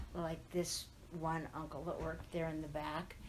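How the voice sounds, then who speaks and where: With an American accent, a woman talks amid audible room echo. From Southern California, Riverside. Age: 80s+. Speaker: oral history interviewee. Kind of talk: oral history interview. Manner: reminiscing, conversational.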